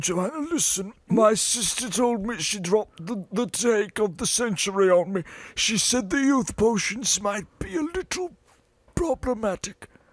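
A man performs a cartoonish character voice at a high pitch. His pace is moderate. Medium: puppet show. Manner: hesitant, dry.

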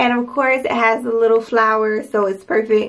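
Fairly slow speech from a woman. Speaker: home decor vlogger. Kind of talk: casual vlog chat. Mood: upbeat, pleased. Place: bathroom.

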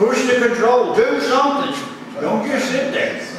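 Over noticeable background noise and strong room echo, a man talks at an extremely high pitch. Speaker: flight instructor. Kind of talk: lecture on aviation charts and emergency rules. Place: classroom. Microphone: camera far.

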